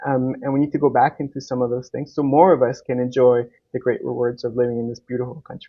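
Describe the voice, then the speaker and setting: Very fast speech comes from a man with a Canadian accent. His medium pitch holds a fairly even intonation. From Uruguay, came to Canada as a child. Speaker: political candidate. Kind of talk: interview. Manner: frequent filler words.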